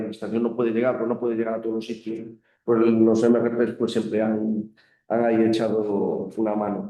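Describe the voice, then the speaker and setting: A man speaks with a Galician accent at a medium pitch. His pace is fairly quick. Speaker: school council member. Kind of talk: panel discussion.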